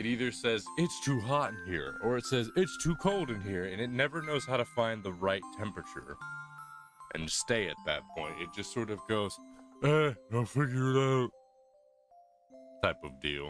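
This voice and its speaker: A man at a moderate pace with very wide pitch swings and long, frequent pauses, music in the background. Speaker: streamer. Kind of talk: casual chat. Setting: live stream.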